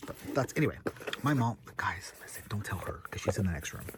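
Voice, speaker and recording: An animated tone comes through at a fairly quick pace, somewhat breathy. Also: man. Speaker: vlogger. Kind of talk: casual vlog talk. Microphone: poor audio.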